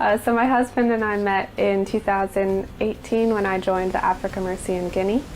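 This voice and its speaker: The delivery is monotone and flat at a moderate pace. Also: woman. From US Midwest, Nebraska. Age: 30s. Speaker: ship finance manager. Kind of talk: interview testimony. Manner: hesitant with fillers.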